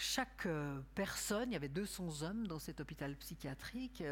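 With audible room echo, a woman uses vocal fry and lively intonation at a fairly slow pace. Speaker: art brut specialist and curator. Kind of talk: lecture. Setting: stage with audience.

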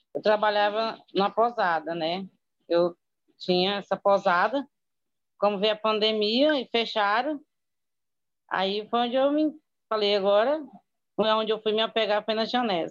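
A woman speaks in a fairly high pitch with ordinary pitch variation. She goes at a fairly slow pace with long, frequent pauses. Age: 40s. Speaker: former guesthouse owner and distributor. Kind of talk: testimony.

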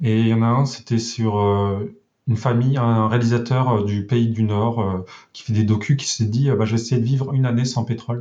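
A man speaks at a moderate pace in a medium pitch, his dark, mellow tone somewhat breathy. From rural France. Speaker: web developer. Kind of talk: casual interview.

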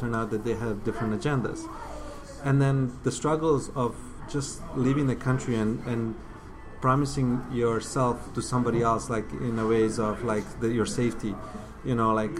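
Music plays behind a man speaking at a medium pitch. His intonation stays fairly even. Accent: Bosnian. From Bosnia. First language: Bosnian. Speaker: filmmaker. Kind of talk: casual interview. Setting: coffee shop.

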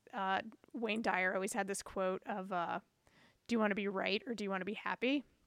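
A woman talks at a fairly quick pace in an ordinary speaking voice. Her pitch is medium, her intonation fairly even. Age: 40s. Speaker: drummer, audio engineer, podcaster. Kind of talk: casual interview conversation.

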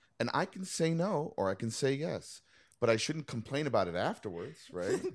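In a very clean recording with a silent background, a man with an American accent talks at a moderate pace and a fairly high pitch. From New York City. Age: 50s. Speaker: cartoonist and playwright. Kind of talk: casual chat.

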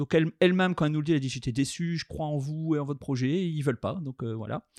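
In a normal speaking voice with ordinary pitch variation, a man talks over a dry, close sound with no echo. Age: 30s. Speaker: chocolatier. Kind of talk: interview testimony.

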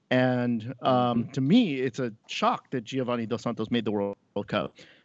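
This man has a normal speaking voice with a medium pitch. His intonation is fairly even. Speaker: podcast co-host. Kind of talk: casual chat.

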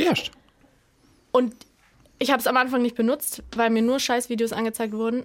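A woman speaks in a high pitch. Her intonation is fairly even. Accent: slight Baden. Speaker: comedian guest. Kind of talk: casual chat. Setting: studio.

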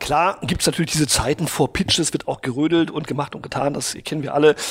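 Speaking at a fairly quick pace, a man has an unremarkable speaking voice with a fairly high pitch. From Brazil. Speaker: advertising executive. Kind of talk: interview.

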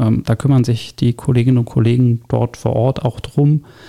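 The voice is dark and mellow in tone and somewhat breathy, moving at a moderate pace with fairly even intonation in a dry, close sound with no echo. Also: man. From Berlin (Pankow). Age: 30s. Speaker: district councillor for urban development. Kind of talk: interview. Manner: hesitant, many fillers.

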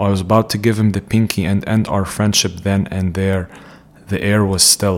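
In an Arabic accent, a man speaks at a moderate pace with a fairly low-pitched voice. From Jordan (Palestinian, raised in Amman). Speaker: psychiatrist. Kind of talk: reading aloud of own essay.

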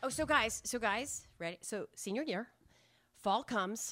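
On a very clean recording with a silent background, a woman with an American accent uses a normal speaking voice at a moderate pace, her intonation lively. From New Hampshire, US. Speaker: storyteller. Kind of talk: live storytelling. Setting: stage with audience.

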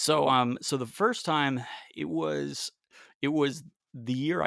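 A man with an American accent at a medium pitch, very wide pitch swings, a fairly slow pace, and a very clean recording over a silent background. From US South, Raleigh, North Carolina. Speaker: guitarist and musician. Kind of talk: casual interview.

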